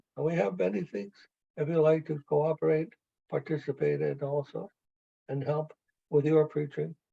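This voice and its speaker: At a moderate pace, a man with a fairly high pitch and a dark, mellow, somewhat breathy tone speaks with ordinary pitch variation and long, frequent pauses, in a dry, close sound with no echo. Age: 80s+. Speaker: spiritual teacher. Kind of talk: casual chat.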